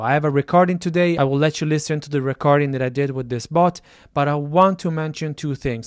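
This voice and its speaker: A man speaks at a fairly quick pace with fairly even intonation. The sound is dry with no echo, and the background is quiet. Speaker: tech creator. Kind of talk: casual vlog chat. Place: home room. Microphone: studio mic.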